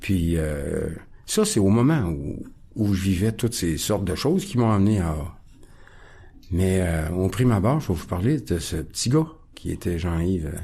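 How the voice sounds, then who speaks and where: A man with a very deep, low pitch and a dark, mellow tone speaks somewhat breathily at a fairly slow pace, with lively intonation and long, frequent pauses. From Quebec, Montreal (Ahuntsic). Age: 60s. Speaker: recovering alcoholic guest. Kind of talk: testimony. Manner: halting, many hesitations.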